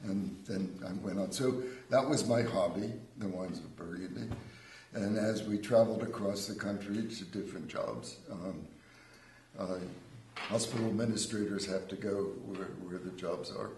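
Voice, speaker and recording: In a room with audible echo, a man with an American accent speaks at a moderate pace, his fairly low voice holding fairly even intonation. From Pennsylvania, US. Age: 70s. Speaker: winery owner and winemaker. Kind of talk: casual chat. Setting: live TV show.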